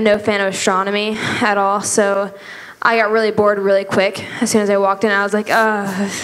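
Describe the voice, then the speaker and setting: A woman is talking. Her pitch sits in the medium range. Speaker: church youth group member. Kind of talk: testimony. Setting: church. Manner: animated. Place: church. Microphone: handheld.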